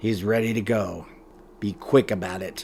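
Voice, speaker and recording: A man puts on a raspy character voice with a fairly low pitch and fairly even intonation. He talks at a moderate pace over clear background noise. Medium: read story. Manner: cold, emotionless.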